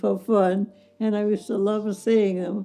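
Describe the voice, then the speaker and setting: The speaker's intonation is monotone and flat. Music plays in the background. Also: woman. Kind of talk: interview answer.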